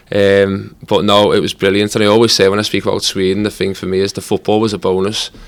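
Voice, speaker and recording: Speaking at a very fast pace with hardly any pauses, a man holds a fairly low pitch in a monotone, flat intonation. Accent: Liverpool. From Liverpool, England. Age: 30s. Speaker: footballer. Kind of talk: podcast interview.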